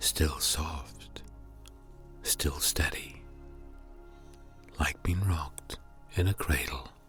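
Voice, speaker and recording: Over background music, the voice has a calm tone and lively intonation, moving at a very slow pace with long, frequent pauses and very even loudness. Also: man, very deep, low pitch for a man. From Northern Ireland. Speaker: voice artist. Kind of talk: sleep story. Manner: slow, calm.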